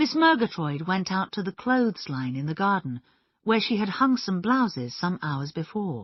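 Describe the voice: Plain reading aloud comes through against a quiet background.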